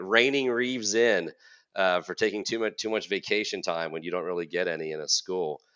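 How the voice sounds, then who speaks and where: A normal speaking voice from a man, with ordinary pitch variation. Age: 40s. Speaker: college counselor and podcast host. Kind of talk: casual chat.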